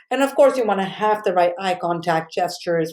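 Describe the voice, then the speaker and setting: Here is a woman with a South Asian accent and a medium pitch. She speaks at a fairly quick pace. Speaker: college communication instructor. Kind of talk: recorded lecture. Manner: casual, many fillers.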